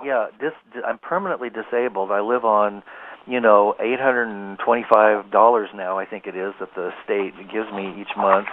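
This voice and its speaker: A man with an unremarkable speaking voice talks at a fairly low pitch with fairly even intonation and big swings in loudness. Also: moderate pace. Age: 60s. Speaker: psychic healer and author. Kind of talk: interview testimony. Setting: internet radio interview.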